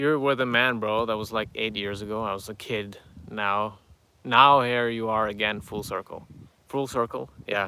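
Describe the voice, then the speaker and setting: On a very clean recording with a silent background, the speaker has a non-native accent, fairly even intonation and a bright, sharp tone. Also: man, medium pitch for a man, moderate pace. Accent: noticeable foreign. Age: 30s. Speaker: YouTuber answering viewer questions. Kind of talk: live stream Q&A reading chat. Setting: outdoors near farm animals. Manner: halting, many fillers.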